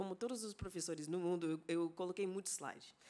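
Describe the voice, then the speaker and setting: A woman speaks in an English accent. Her tone is dark and mellow. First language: English (speaking Portuguese). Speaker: anthropology professor. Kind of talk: conference lecture. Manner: halting, with many fillers and self-corrections.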